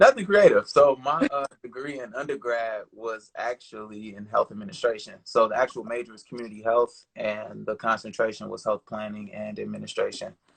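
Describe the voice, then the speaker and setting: A man talks at a fairly quick pace with hardly any pauses and big swings in loudness. The sound is dry and close, with no echo. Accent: American. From Chicago, Illinois. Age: 20s. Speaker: creative entrepreneur. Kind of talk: casual interview. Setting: live online stream.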